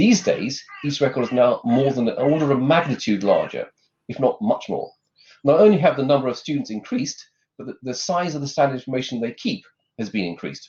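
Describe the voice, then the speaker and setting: A somewhat breathy man with a fairly high pitch and lively intonation. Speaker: conference speaker on further education data. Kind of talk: lightning talk presentation. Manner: fast; hesitant with fillers.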